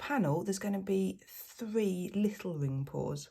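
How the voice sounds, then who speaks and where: A quiet, somewhat breathy woman at a medium pitch with very wide pitch swings. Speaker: fluid art painter. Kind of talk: tutorial. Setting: at home. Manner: hesitant, many fillers.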